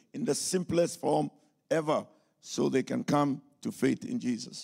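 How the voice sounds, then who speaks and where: A man speaks very slowly with vocal fry and a fairly high pitch. His pitch swings very widely. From Ghana. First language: English or a Ghanaian language, German learned later (speaking German). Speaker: pastor and missionary. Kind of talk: sermon. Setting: church service.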